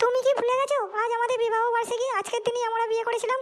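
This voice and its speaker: In a cartoonish character voice, a female-sounding speaker goes at a very fast pace with an extremely high pitch and monotone, flat intonation over light background noise. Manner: sharp, nagging.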